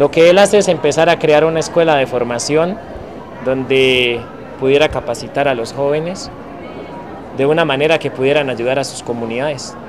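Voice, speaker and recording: With noticeable background noise, a man speaks at a moderate pace with ordinary pitch variation and long, frequent pauses. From Colombia, Cauca. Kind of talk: testimony. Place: street.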